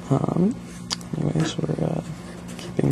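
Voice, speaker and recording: A soft-spoken man at a fairly slow pace over noticeable background noise. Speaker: ASMR video creator. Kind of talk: soft-spoken ASMR storytelling. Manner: soft-spoken, hesitant.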